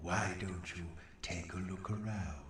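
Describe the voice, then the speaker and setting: A man uses a put-on character voice, very deep and low in pitch, at a moderate pace. A slight echo and clear background noise are present. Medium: video game. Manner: sarcastic, mocking.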